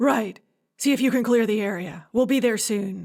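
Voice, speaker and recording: The speaker uses a put-on character voice with ordinary pitch variation. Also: woman. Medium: read story. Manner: terse, decisive.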